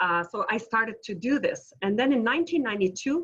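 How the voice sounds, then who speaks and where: A woman's fairly high voice in a Quebec accent. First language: French. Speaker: entrepreneur. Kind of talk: webinar presentation. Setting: video call. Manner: animated.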